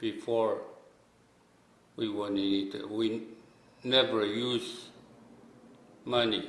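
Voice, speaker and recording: Audible room echo surrounds a man who talks at a very slow pace with fairly even intonation. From Micronesia, outer islands of Yap. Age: 60s. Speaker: islander elder. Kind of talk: testimony. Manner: halting.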